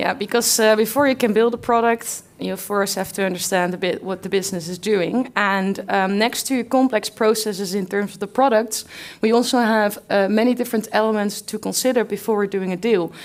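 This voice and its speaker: Speaking in a Dutch accent, a woman talks at a fairly quick pace with hardly any pauses, a fairly high pitch and fairly even intonation, on a very clean recording with a silent background. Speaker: company representative presenting at conference. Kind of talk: conference talk.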